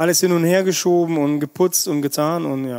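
Speaking with a Russian accent, a man talks at a moderate pace in a dark, mellow tone. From Russia, Siberia, then grew up in Germany. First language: Russian (speaking German). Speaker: chef. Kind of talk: casual interview. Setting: restaurant just before opening. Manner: animated.

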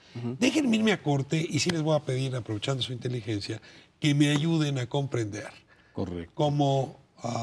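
This man's voice is somewhat breathy, with lively intonation. He talks at a fairly quick pace. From Mexico. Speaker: TV talk show host. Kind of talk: TV panel discussion. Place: studio. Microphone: lapel.

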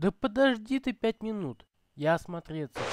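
Put-on character voice at a fairly high pitch. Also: moderate pace. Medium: machinima. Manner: enthusiastic, a bit defensive.

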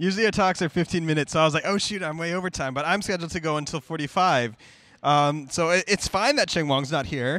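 Delivered at a very fast pace with an American accent, the speech has ordinary pitch variation and a dry sound with no echo. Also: man. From United States. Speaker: cryptocurrency project contributor giving a conference talk; conference speaker. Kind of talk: conference talk. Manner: casual. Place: stage. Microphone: handheld.

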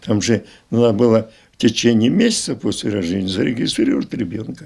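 A man's pace is moderate. Behind him, the background stays quiet. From southern Russia, Adygea; southern Russia. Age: 80s+. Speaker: retired school director; interviewee. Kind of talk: interview reminiscence. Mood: reminiscing, conversational. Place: home room. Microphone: handheld.

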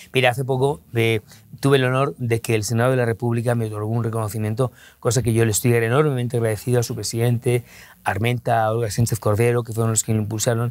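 In a Madrid accent, a man rattles along at a very fast pace, medium in pitch and monotone, flat in intonation, in a dry sound with no echo. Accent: Castilian Spanish (Madrid). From Spain, Madrid. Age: 50s. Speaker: interview guest, journalist. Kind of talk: interview. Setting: hotel recording studio. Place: studio. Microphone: lapel.

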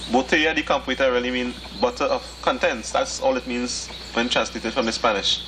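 Noticeable background noise sits behind a man who speaks at a fairly quick pace with fairly even intonation. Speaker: herbal plant guide. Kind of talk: explanatory field demonstration. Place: open country. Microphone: old recording.

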